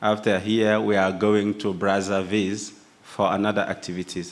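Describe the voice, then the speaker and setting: The voice belongs to a man and sits fairly low. He keeps a monotone, flat intonation. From Burkina Faso. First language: French. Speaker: youth union representative. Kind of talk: speech at opening ceremony. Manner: halting.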